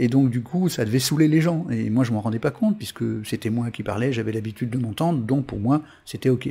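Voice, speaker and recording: The voice has a dark, mellow tone and is somewhat breathy, moving at a fairly quick pace with ordinary pitch variation. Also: man, medium pitch for a man. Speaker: web TV host and karmic numerology coach. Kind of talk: live-streamed talk answering chat. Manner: fast; hesitant with many fillers and repetitions.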